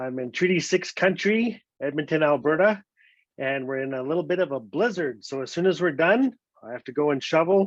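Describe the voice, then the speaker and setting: At a fairly quick pace, a man with a northern Canadian accent and fairly high pitch speaks with lively intonation and big swings in loudness. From Northwest Territories, Canada (Fort Smith). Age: 50s. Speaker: storyteller. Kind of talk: storytelling. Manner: animated.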